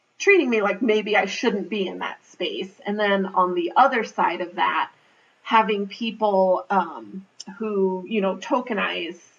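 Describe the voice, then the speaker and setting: In a normal speaking voice with an American accent, the speaker talks at a fairly slow pace with ordinary pitch variation. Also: woman, medium pitch for a woman. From Navajo Nation, Northern Arizona. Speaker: public health leader. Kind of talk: interview answer.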